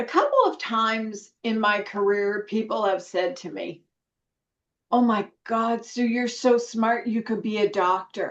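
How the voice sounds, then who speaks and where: With a plain, everyday voice, a woman talks at a fairly slow pace, her fairly high pitch showing ordinary variation. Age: 60s. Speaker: nurse educator. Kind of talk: interview podcast.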